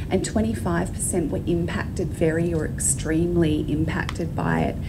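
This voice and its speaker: A woman talks fairly slowly while noticeable noise sounds behind her. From Australia. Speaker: clinical psychologist. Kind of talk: presentation talk. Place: hall. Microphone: handheld.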